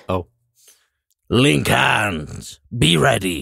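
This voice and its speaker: A man puts on a raspy character voice with a very deep, low pitch. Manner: terse, commanding.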